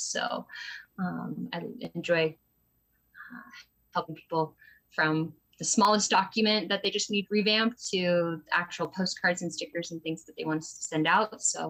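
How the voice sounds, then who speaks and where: A woman with an American accent and an ordinary speaking voice, moderate pace, big swings in loudness. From US Northwest, small town near Boise. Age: 20s. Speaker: small business owner. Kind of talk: interview. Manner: many fillers (um, uh).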